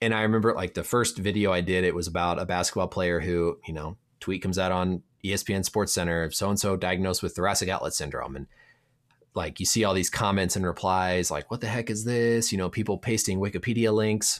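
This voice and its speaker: A man with a very deep, low pitch and an American accent speaks at a very fast pace with fairly even intonation, in a very clean recording with a silent background. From Indiana, US Midwest. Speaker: sports medicine physician. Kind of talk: casual interview chat.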